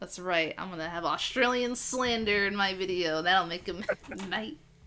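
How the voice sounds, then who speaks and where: Speaking in an American accent at a moderate pace, a woman with a medium pitch sounds animated, her pitch varying in an ordinary way over noticeable background noise. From Massachusetts, US. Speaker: podcast host, music reviewer. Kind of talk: casual chat.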